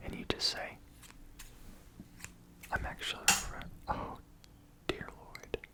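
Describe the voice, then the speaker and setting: Whispering is heard over noticeable background noise. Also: man. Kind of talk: ASMR head massage with motivational talk.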